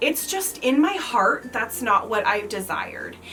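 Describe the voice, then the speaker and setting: Over noticeable background noise, a woman with an American accent talks at fairly high pitch with very wide pitch swings. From US Midwest, rural Kansas. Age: 30s. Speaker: lifestyle vlogger. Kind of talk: casual Q&A vlog. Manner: chatty, filler-heavy.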